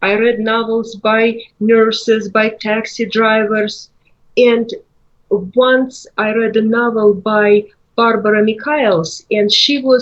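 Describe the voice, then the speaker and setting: A woman with a Russian accent and a fairly high voice speaks at a very slow pace in a monotone with flat intonation. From Russia, Moscow. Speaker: author. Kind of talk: interview.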